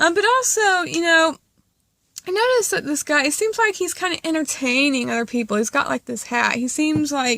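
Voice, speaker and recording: Pitched high, a woman speaks at a fairly quick pace in a raised, projected voice with a bright, sharp tone and very wide pitch swings. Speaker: tarot reader. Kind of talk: tarot reading monologue. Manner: casual, filler-heavy.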